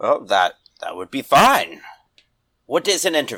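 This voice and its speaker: A man's raspy, put-on character voice. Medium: actual play. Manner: slow, plain, stilted.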